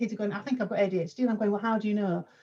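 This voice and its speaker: A woman speaks with a dark, mellow tone and a somewhat breathy quality. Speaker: youth worker and panel host. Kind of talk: panel discussion. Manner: quiet.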